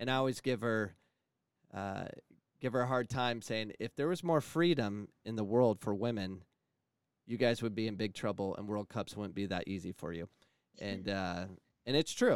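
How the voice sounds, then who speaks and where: Speaking with an American accent, a fairly low-pitched man keeps a moderate pace with ordinary pitch variation and long, frequent pauses. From Phoenix, Arizona. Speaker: college sports coach and podcast host. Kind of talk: podcast interview.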